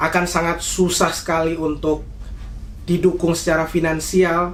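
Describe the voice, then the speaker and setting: Amid noticeable background noise and audible room echo, a man with a Papuan accent speaks fairly slowly at a high pitch, with monotone, flat intonation. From Indonesia, Papua (Jayapura) and Central Java (Salatiga). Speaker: university student. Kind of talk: interview. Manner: hesitant, many fillers.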